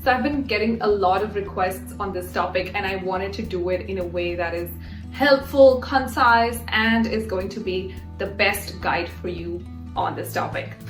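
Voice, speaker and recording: With music in the background, a woman delivers her words at a moderate pace. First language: not English. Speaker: YouTuber, career and English-learning advice. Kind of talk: casual talk to camera.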